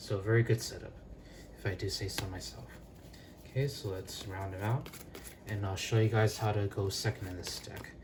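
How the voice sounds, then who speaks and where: A man's fairly low, somewhat breathy voice with ordinary pitch variation and long, frequent pauses. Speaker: card game youtuber. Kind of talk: tutorial. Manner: fast.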